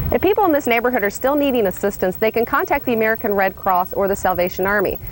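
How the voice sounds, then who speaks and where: A woman's fairly high voice with very wide pitch swings, over noticeable background noise. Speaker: television news reporter. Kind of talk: TV news reporting.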